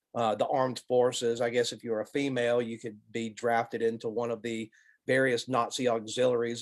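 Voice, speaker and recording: The speaker has an Alabama accent and moves at a fairly quick pace. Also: man. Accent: Southern US (Alabama). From US South, Alabama. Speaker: college professor, lecturer. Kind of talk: Q&A after a lecture.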